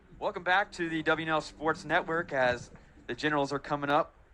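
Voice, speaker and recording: A man with a fairly high pitch talks at a moderate pace while music plays in the background. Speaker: student broadcaster. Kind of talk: baseball play-by-play commentary.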